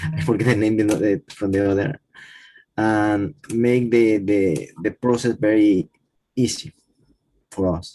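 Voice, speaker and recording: A dark, mellow voice with a Spanish accent speaks at a fairly slow pace with fairly even intonation. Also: man. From Panama. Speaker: conservation worker. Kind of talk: panel discussion. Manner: halting.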